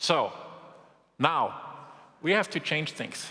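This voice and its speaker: This man speaks at a fairly slow pace with a strong German accent. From Germany. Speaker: business executive. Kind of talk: keynote speech.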